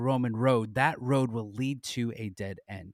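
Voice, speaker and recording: A man's unremarkable speaking voice, medium in pitch, with an American accent, at a fairly slow pace, in a dry, close sound with no echo. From Southern California. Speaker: ministry co-founder and teacher. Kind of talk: podcast interview.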